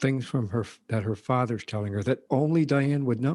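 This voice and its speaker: A somewhat breathy voice with a dark, mellow tone moves at a fairly quick pace on a very clean recording with a silent background. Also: man. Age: 60s. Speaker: retired police officer and podcast host. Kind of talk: interview.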